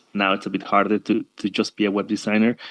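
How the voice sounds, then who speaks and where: The recording of this man is very clean, with a silent background and a dry, close sound that has no echo. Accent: Spanish. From Mexico, Tabasco. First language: Spanish. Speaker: digital nomad, web designer. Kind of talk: panel discussion.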